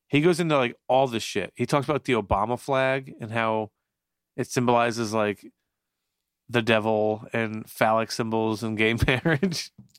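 This man has an ordinary speaking voice, medium in pitch with ordinary pitch variation, talking at a moderate pace in a dry, close sound with no echo. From northern New Jersey, partly raised in Florida. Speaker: podcast co-host. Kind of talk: casual chat. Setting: drinking beer while recording.

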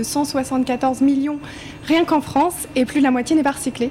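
Amid noticeable background noise, a woman speaks in a high voice with fairly even intonation. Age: 20s. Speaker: cosmetics startup founder. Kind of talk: panel discussion.

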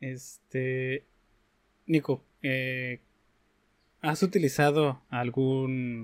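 With a dry, close sound and no echo, a man talks at medium pitch with fairly even intonation. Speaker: podcast host. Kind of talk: interview. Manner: halting.

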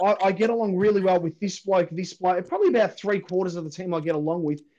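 The speech comes very fast in a strong Australian accent. The tone is dark and mellow. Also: man. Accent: broad Australian. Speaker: podcast host and football fan. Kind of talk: heated debate. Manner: loud, swearing, fired-up and blunt.

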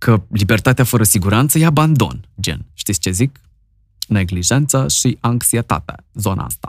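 The speaker uses lively intonation and vocal fry at a moderate pace. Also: man. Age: 40s. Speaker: podcast host. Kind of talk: casual chat.

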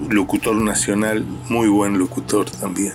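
Music plays in the background as a man speaks. His pitch is fairly low and his pace very slow. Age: 60s. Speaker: radio pioneer and station founder. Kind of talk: testimony. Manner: halting, with fillers and repetitions.

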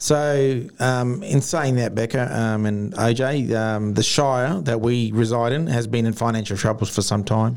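A man with an Australian accent, medium in pitch, fairly slow yet with hardly any pauses, on a very clean recording with a silent background. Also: ordinary pitch variation. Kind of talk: casual chat.

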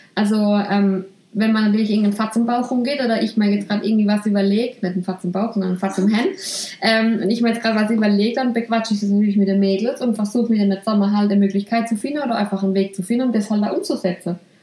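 A woman with a Swabian accent speaks at a very fast pace and fairly high pitch, with fairly even intonation and very even loudness. Noticeable background noise sits behind her. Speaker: salon owner and podcast host. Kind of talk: casual chat.

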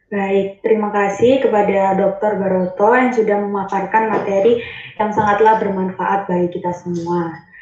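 At a moderate pace, a woman speaks in a medium pitch with monotone, flat intonation over noticeable background noise. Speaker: student event MC. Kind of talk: formal event hosting. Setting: video call. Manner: formal.

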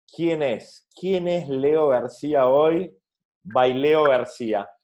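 Speaking at a very slow pace with a Rioplatense accent, a man uses a fairly high pitch and ordinary pitch variation. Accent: Argentine Spanish (rioplatense). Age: 40s. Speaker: podcast host. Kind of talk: interview.

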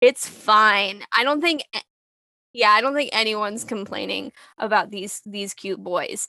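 With an American accent, a woman speaks at a fairly high pitch with vocal fry and big swings in loudness, in a dry, close recording with no echo. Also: ordinary pitch variation. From US, New York City. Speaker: podcast host. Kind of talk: casual chat.

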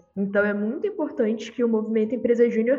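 A high-pitched woman with ordinary pitch variation amid noticeable background noise. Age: 20s. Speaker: youth organization president. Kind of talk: podcast interview.

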